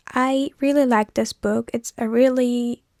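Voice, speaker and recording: On a very clean recording with a silent background, a woman speaks in a Turkish accent, the sound dry and close with no echo. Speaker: vlogger. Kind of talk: casual vlog talk.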